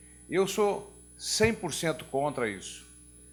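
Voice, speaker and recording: This man's pitch swings very widely. Music plays in the background. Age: 70s. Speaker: nonprofit executive. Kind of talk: opening remarks at a talk.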